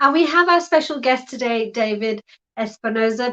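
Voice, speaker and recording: With a British accent, a woman speaks at a moderate pace, her fairly high pitch showing ordinary variation. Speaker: live talk host. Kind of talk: live online talk show. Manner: casual, hesitant with fillers.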